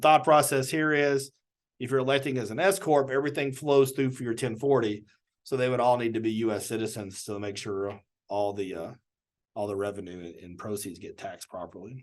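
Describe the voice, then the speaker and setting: A man at medium pitch and a fairly quick pace, with big swings in loudness against a quiet background. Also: ordinary pitch variation. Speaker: government small business advisor. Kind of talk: webinar presentation. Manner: fast.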